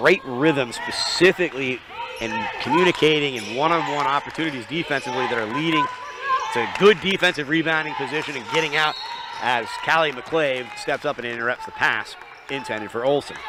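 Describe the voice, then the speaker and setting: Through noticeable background noise, a man speaks at a fairly quick pace. His pitch is fairly high, with ordinary pitch variation. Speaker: basketball play-by-play commentator. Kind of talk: live commentary. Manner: loud talker; quieter than usual now.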